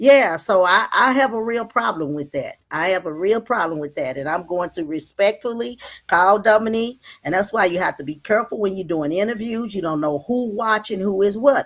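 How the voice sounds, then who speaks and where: Animated and with lively intonation, a woman speaks at a medium pitch and a fairly quick pace. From Dallas, Texas. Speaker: caller. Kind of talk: casual chat.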